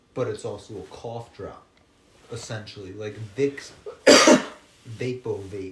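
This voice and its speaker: Against noticeable background noise, a man at a medium pitch talks at a very slow pace with long, frequent pauses, fairly even intonation and big swings in loudness. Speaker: podcast co-host. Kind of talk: casual chat. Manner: quiet.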